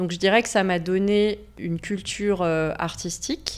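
The background is silent and the recording very clean. A woman's voice is heard. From Savoie, France. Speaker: graphic designer. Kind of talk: interview.

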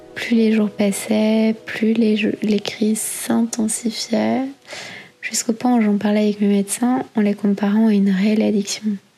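The speech moves at a fairly slow pace in a monotone with flat intonation. Loudness stays very even over noticeable background noise. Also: woman, fairly high pitch for a woman. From Belgium. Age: 30s. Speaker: eating disorder survivor. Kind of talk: testimony. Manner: gentle storytelling.

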